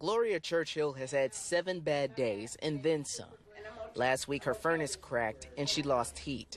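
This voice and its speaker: Speaking fairly slowly, a man has an ordinary speaking voice with a fairly high pitch and ordinary pitch variation. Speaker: TV news reporter. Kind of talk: TV news reporter package and live shot delivery.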